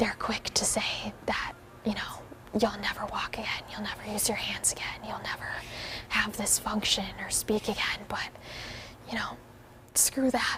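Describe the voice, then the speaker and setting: Whispering with an American accent at a moderate pace, a woman takes long, frequent pauses amid noticeable background noise. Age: young. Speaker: adaptive CrossFit athlete. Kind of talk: interview answer. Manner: whispered.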